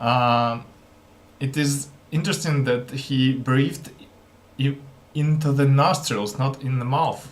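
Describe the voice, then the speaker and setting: With a non-native accent, a man with a fairly high pitch talks at a very slow pace with fairly even intonation and long, frequent pauses, amid audible room echo. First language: not English. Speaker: language learner vlogger. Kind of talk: casual vlog commentary. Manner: halting.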